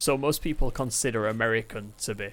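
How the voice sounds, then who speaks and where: Music plays behind a man speaking at a medium pitch with ordinary pitch variation. His pace is fairly slow. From northern England, Manchester. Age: 30s. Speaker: gaming streamer. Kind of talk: casual chat. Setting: live stream, moving house.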